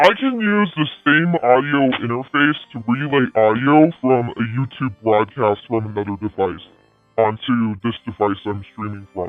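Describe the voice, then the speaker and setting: A man with a medium pitch talks at a fairly slow pace and ordinary pitch variation, with music in the background. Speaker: live streamer. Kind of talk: casual livestream monologue. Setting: live stream.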